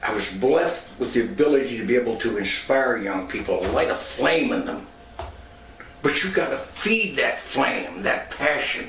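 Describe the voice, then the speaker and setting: A man speaks at a moderate pace, his voice carrying audible room echo over noticeable background noise. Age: 70s. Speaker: former radio personality and youth center founder. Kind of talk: personal testimony.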